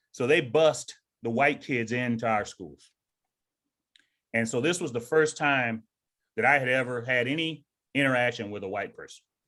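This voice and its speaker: With an American accent and a bright, sharp tone, a man speaks with big swings in loudness and long, frequent pauses in a very clean recording with a silent background. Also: medium pitch for a man, ordinary pitch variation, moderate pace. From US South. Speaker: retired army sergeant major and author. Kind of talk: interview.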